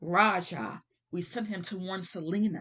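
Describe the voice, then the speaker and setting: Shouting in a put-on character voice, a woman speaks at a moderate pace and medium pitch. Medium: read story. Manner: fierce, shouting.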